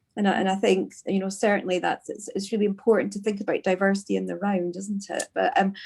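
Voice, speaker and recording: Someone talks at a very fast pace in a Scottish accent. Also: woman, hardly any pauses. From Scotland. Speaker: podcast host. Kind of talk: podcast interview. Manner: hesitant, many fillers.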